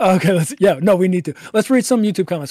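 A man speaks with a high pitch and a dark, mellow tone. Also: dry, close sound with no echo, very clean recording, silent background. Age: 20s. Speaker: podcast co-host. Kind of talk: casual chat; reading aloud.

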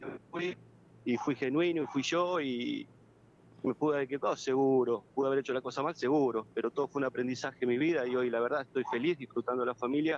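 Medium-pitched male voice, fairly quick and fairly even in intonation, with a dry, close sound and no echo. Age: 40s. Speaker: former footballer and youth coach. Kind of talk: phone interview. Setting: phone call.

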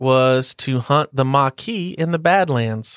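A man speaks at a very slow pace with an American accent, his pitch medium and its variation ordinary. The recording is very clean with a silent background, and the sound is dry and close with no echo. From US South. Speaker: podcast co-host. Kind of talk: casual chat; trivia quiz.

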